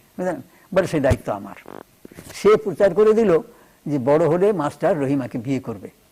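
Over noticeable background noise, the voice makes very wide pitch swings. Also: man. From West Bengal, India (rural, near Kolkata). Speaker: novelist. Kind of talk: TV interview.

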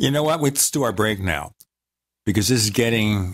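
His medium-pitched voice moves through very wide pitch swings. The recording of this man is very clean, with a silent background. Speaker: radio host. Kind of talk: interview. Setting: studio.

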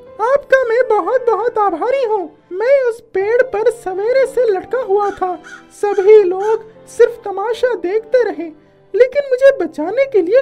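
The speaker uses a put-on character voice at a fairly slow pace. Faint music plays in the background. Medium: read story. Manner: warm, grateful, friendly.

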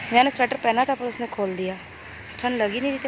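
Noticeable background noise accompanies a dry sound with no echo. A woman speaks at a fairly quick pace with ordinary pitch variation. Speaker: home vlogger. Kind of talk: casual vlog chat. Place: street. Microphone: phone near.

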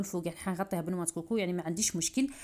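A woman's somewhat breathy, lively-sounding voice on a very clean recording with a silent background. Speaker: cooking youtuber. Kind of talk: cooking tutorial. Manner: fast.

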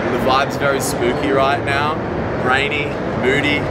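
Loud noise fills the background. Over it a man keeps a moderate pace. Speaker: music producer vlogger. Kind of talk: casual vlog chat. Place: street.

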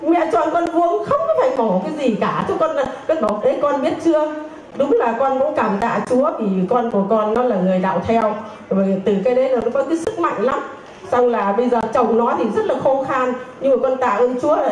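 The speech has lively intonation and a moderate pace, with audible room echo and light background noise. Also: woman, high pitch for a woman. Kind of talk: personal testimony. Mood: earnest, grateful, emotional. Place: church.

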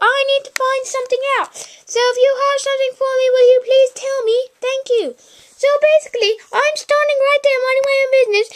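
In a put-on character voice, a woman squeaks out words at an extremely high pitch, monotone and flat, at a fairly quick pace. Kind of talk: comic overacting. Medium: solo performance. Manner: chatty, playful.

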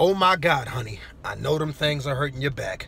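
The dry sound has no echo, and the speech moves at a very fast pace. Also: man. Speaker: storyteller vlogger. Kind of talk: casual vlog chat. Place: car. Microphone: phone near.

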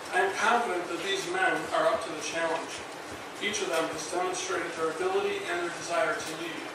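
Amid noticeable background noise and strong room echo, a man talks at a fairly quick pace. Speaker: fire chief. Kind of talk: formal ceremonial speech. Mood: formal, proud. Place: hall.

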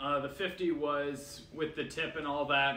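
Room echo is audible here. Through it comes a man's voice. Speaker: food reviewer. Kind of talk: casual vlog chat. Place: home room.

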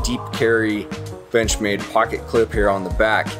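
Clear background music under a man speaking at a moderate pace. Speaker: presenter. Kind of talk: product review chat. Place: factory. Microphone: phone near.

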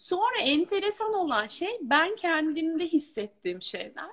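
Against a quiet background, a woman speaks very slowly in an extremely high voice that swings very widely in pitch. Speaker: coaching client. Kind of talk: testimony. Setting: video call. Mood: reflective, relieved. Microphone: video call.

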